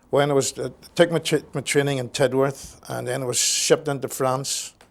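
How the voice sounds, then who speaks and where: With a Northern Irish accent, a man speaks at a moderate pace in a fairly high pitch and a monotone, flat intonation. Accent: Northern Irish (Belfast). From Belfast, Northern Ireland. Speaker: war veteran. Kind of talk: oral history interview. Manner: halting, repeats words.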